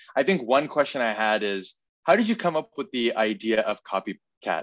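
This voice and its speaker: Against a quiet background, a man with a plain, everyday voice talks at a medium pitch and a fairly quick pace with lively intonation. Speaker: podcast interviewer. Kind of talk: casual interview chat.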